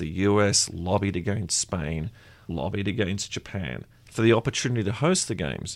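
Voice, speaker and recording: With an Australian accent and a fairly low pitch, a man talks at a moderate pace with lively intonation. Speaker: podcast co-host and editor. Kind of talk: casual interview chat.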